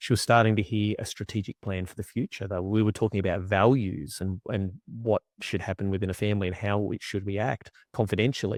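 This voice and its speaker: Speaking at a fairly quick pace with an Australian accent, a man with a fairly low pitch is heard in a dry, close sound with no echo on a very clean recording against a silent background. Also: fairly even intonation. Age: 40s. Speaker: agriculture strategic coach. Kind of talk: casual interview chat.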